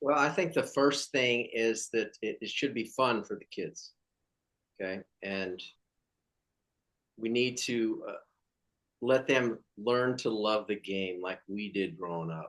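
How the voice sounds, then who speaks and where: Speaking very slowly with long, frequent pauses, a man uses an American accent at a medium pitch with ordinary pitch variation. His loudness swings widely. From California. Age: 50s. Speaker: former pro baseball player. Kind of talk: interview.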